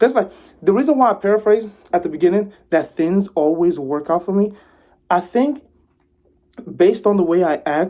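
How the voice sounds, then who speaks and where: A man's high-pitched voice with ordinary pitch variation at a moderate pace. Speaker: vlogger giving life advice. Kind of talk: casual monologue. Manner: laid-back, lackadaisical tone.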